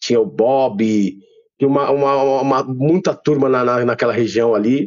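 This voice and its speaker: In a normal speaking voice of medium pitch, a man talks at a moderate pace with fairly even intonation. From São Paulo, Brazil. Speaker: rapper and former graffiti writer. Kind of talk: casual interview chat.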